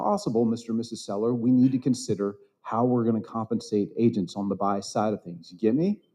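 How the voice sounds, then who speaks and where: At a fairly quick pace, a man speaks. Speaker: conference speaker on real estate. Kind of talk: seminar talk to live audience. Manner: quiet, low-volume talker.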